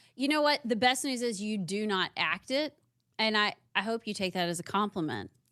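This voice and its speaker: With an East Tennessee accent, a woman talks at a fairly quick pace in a fairly high, bright, sharp voice with lively intonation and a dry, close sound with no echo. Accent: Southern American (East Tennessee). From Knoxville, Tennessee. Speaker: political podcast co-host. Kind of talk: interview. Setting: video call.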